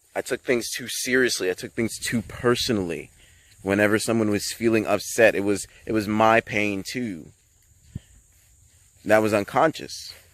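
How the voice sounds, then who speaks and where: A man talks at a moderate pace and medium pitch, with fairly even intonation. He leaves long, frequent pauses. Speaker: spiritual vlogger. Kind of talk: casual monologue. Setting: outdoors on a hike. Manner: halting.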